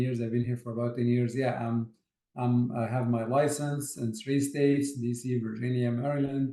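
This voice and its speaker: A man speaks with an Arabic accent at medium pitch. His intonation is monotone and flat, at a moderate pace. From Egypt, Port Said. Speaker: architect, project manager. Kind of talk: interview. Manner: hesitant, many fillers.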